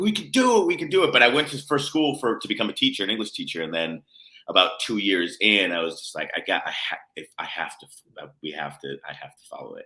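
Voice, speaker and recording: A man with an American accent speaks at a very fast pace, with big swings in loudness. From United States. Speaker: playwright and composer. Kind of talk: casual interview chat. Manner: halting, many fillers.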